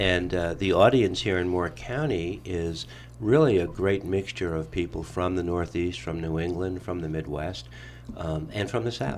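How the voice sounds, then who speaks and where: Moving at a moderate pace, a man speaks with a New York accent in a very deep, low voice. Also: lively intonation. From New York (Brooklyn). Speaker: radio talk show host. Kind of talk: radio interview.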